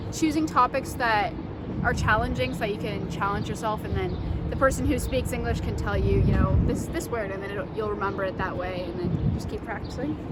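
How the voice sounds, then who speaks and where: Amid noticeable background noise and audible room echo, a woman with a Canadian accent talks at a fairly quick pace. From Canada (London, Ontario). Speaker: university student. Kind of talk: street interview.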